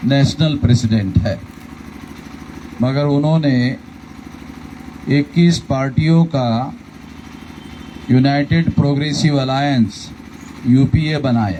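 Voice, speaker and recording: Long, frequent pauses and ordinary pitch variation come through over noticeable background noise. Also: man. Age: 60s. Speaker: political leader. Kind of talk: election rally speech.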